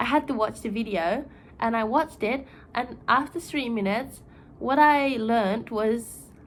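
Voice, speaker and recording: With a Japanese accent, a woman speaks at a moderate pace and a fairly high pitch, with ordinary pitch variation. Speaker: YouTuber. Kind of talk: casual explainer video. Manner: chatty, informal.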